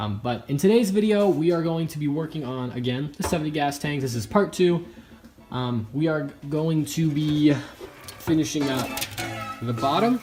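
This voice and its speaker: Over noticeable background noise, a man with a fairly high pitch talks with lively intonation. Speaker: motorcycle hobby YouTuber. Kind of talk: casual video vlog. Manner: fast; hesitant, filler-heavy.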